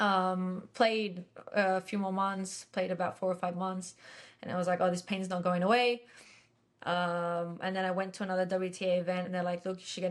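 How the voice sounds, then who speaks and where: A woman speaks with an Australian accent at a medium pitch. Her intonation is monotone and flat, at a moderate pace. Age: 20s. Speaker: professional tennis player. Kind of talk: interview. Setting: podcast.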